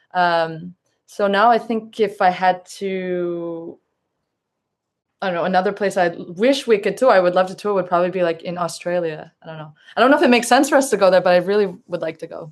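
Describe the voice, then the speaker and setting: A woman with an American accent and an ordinary speaking voice, medium in pitch, her intonation ordinarily varied and her loudness swinging widely, on a very clean recording with a silent background. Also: fairly quick pace. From US. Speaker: indie band drummer and singer. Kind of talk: interview.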